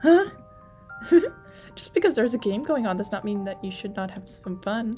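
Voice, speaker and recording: A woman speaks at a moderate pace with lively intonation. Music plays in the background. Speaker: let's play gamer. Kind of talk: reading game dialogue aloud.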